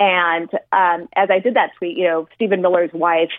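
A woman with an American accent talks in a normal speaking voice, pitched fairly low. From El Paso, Texas, border. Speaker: former political official. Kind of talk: interview conversation.

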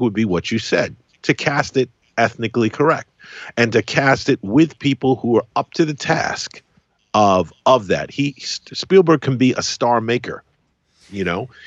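An animated man at medium pitch, speaking at a moderate pace. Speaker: film critic. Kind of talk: casual chat. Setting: phone call. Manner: halting.

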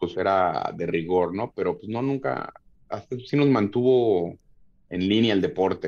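The delivery is fairly slow, with lively intonation. Loudness swings widely from moment to moment. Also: man, fairly low pitch for a man. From Mexico City area (Tlalnepantla, State of Mexico). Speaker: MMA fighter. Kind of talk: casual chat. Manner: halting, many repeated words.

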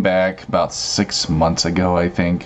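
A man's very deep, low voice over noticeable background noise. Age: 30s. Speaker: online content creator. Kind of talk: casual chat.

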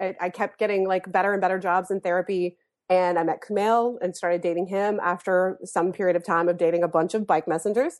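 A woman with an American accent and an ordinary speaking voice talks at a fairly quick pace with hardly any pauses. Her pitch is medium and her intonation fairly even. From US South, North Carolina. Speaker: therapist turned comedy writer. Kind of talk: casual chat.

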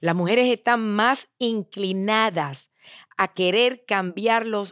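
Recorded very cleanly against a silent background, with a dry, close sound and no echo, a woman speaks at a very slow pace with a medium pitch. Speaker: motivational speaker. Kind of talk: motivational monologue.

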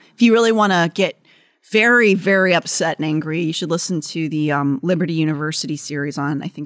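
On a very clean recording with a silent background and a dry, close sound with no echo, a woman with an ordinary speaking voice talks at a fairly quick pace and fairly low pitch with ordinary pitch variation. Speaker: podcast host. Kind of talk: casual chat, informative storytelling.

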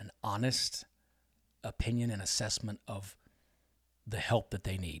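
A man's fairly low, somewhat breathy voice at a moderate pace with fairly even intonation, in a very clean, dry, close recording with no echo and a silent background. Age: 50s. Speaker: former judge. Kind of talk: interview. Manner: hesitant, many fillers.

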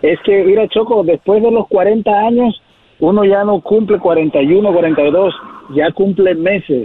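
Noticeable background noise behind a man's very slow, high-pitched speech, with very even loudness and ordinary pitch variation. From Mexico. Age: 40s. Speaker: caller. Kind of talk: phone call.

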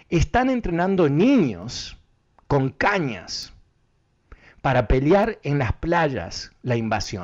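Very slowly and with long, frequent pauses, a man with a fairly high voice speaks with very wide pitch swings. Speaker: radio host. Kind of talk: political commentary.

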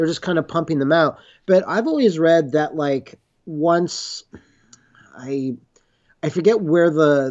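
This man has a normal speaking voice, fairly high in pitch, moving at a fairly slow pace with ordinary pitch variation. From Canada, Montreal. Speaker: video creator covering monster movies. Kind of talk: casual chat. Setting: remote call.

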